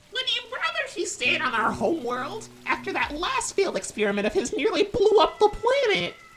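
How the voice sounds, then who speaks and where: In a put-on character voice, the speaker uses an extremely high pitch with very wide swings at a fairly quick pace. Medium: audio drama. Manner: anxious, repetitive when worried.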